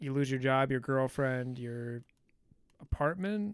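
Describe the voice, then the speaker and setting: The man's voice is fairly high in pitch with ordinary pitch variation. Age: 30s. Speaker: guest movie ranker on a podcast. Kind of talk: casual chat. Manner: animated.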